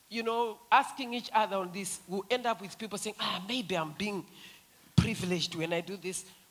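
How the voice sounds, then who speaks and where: A woman speaks in an animated tone at a moderate pace, with ordinary pitch variation. Her loudness swings widely, and background noise is noticeable. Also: medium pitch for a woman. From Zimbabwe. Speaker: feminist activist. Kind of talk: panel discussion.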